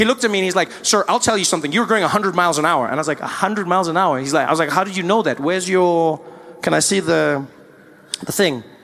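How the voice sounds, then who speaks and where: With a South African accent, a man talks at a very fast pace and a high pitch. His intonation is lively, with noticeable background noise behind him. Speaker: stand-up comedian. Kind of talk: live stand-up comedy.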